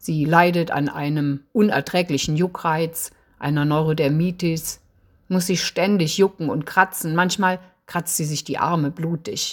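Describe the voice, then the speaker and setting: A woman's normal speaking voice, fairly low in pitch, with ordinary pitch variation and a fairly slow pace. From Eifel, western Germany. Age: 60s. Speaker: novelist. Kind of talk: author presentation with reading aloud.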